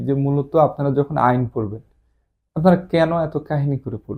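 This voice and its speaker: A man's voice carries a dark, mellow tone. His pitch is fairly high. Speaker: police promotion exam tutor. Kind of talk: lecture.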